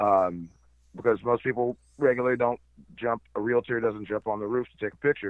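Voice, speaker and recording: In a normal speaking voice, a man talks at a fairly quick pace with fairly even intonation. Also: medium pitch for a man. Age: 30s. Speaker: drone operator, podcast guest. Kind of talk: casual chat.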